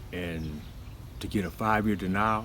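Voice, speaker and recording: Audible room echo surrounds a man with a very deep, low pitch and vocal fry who speaks at a fairly slow pace with ordinary pitch variation. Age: 60s. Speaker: formerly incarcerated man sharing his story. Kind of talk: personal testimony. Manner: hesitant, many fillers.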